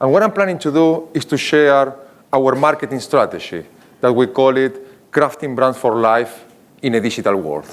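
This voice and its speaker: A man with an Argentinian accent, medium in pitch, with lively intonation at a moderate pace. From Argentina. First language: Spanish. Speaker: marketing executive. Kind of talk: conference keynote.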